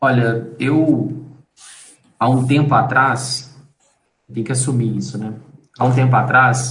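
With vocal fry and flat, monotone intonation, a man of medium pitch speaks at a fairly slow pace in audible room echo. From Brazil, Belo Horizonte (Minas Gerais). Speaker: graphic designer and company partner. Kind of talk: casual interview.

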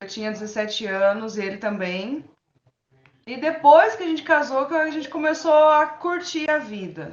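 Her pitch is high, and this woman speaks at a fairly slow pace. Both her pitch and her loudness swing widely. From São Paulo, Brazil. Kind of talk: interview testimony.

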